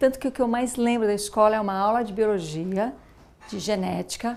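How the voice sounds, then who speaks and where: This woman talks at a moderate pace. Her intonation stays fairly even. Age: 40s. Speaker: former professional dancer and mother. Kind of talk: documentary interview. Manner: halting, many false starts.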